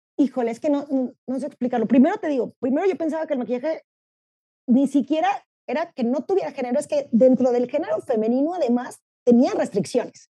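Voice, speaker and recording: A woman speaks at a very fast pace in a high voice. Her tone is dark and mellow, with ordinary pitch variation. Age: 30s. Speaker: marketing professional and LGBTQ activist. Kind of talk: interview.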